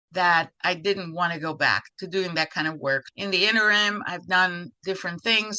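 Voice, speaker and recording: A woman with a Spanish accent speaks at a moderate pace in a fairly low pitch with fairly even intonation. Her tone is bright and sharp, and the sound is dry and close with no echo. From Cuba. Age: 70s. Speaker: retired court interpreter and nonprofit co-founder. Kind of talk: interview.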